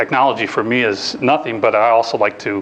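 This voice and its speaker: A man at a medium pitch and a fairly quick pace, his intonation fairly even, amid noticeable background noise. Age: 50s. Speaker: job search workshop speaker. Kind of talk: lecture. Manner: casual, with frequent fillers and restarts.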